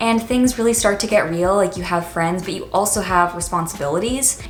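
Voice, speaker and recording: Over music in the background, a woman with a General American accent talks at a very fast pace with lively intonation. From Washington, D.C. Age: 20s. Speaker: college student and YouTuber. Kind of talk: casual talk to camera.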